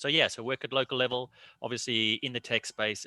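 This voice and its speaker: Very fast and bright with a sharp tone, a man's voice comes through dry and close with no echo on a very clean recording with a silent background. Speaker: NHS hospital IT and cyber head. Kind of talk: panel discussion.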